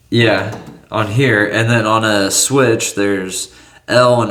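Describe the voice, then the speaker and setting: A man with a fairly low voice and fairly even intonation talks in a room with audible echo. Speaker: tech cleaning video maker. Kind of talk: casual narration while working.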